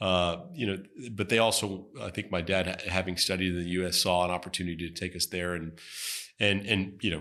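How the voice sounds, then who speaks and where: A man with a strong American accent speaks fairly quickly in a very deep, low voice with a bright, sharp tone. His delivery is monotone and flat, in a very clean recording with a silent background. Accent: heavy American. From Texas, Houston. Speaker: venture capitalist. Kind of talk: interview. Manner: halting, many repetitions and fillers.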